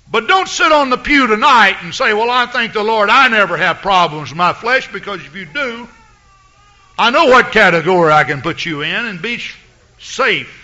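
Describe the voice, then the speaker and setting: A man with an American accent talks at high pitch with lively intonation. His pace is moderate, and there is noticeable background noise. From US South, east Texas. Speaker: pastor. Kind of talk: sermon. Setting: church.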